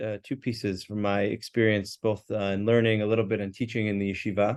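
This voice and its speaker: Against a quiet background, a man with an American accent talks at a fairly quick pace in a fairly low pitch. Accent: more American than his colleague. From US, New York. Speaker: rabbi and yeshiva teacher. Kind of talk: religious class discussion.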